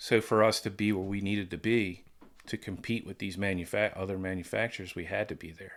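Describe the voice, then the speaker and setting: A plain, everyday voice comes from a man with an American accent, a fairly low pitch and a fairly quick pace. His loudness swings widely on a very clean recording with a silent background. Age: 60s. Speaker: former pro BMX rider. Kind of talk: casual chat.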